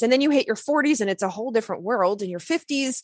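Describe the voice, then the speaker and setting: A woman with an American accent, high pitch, very wide pitch swings and a very fast pace. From US South. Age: 40s. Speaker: naturopathic doctor. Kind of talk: interview.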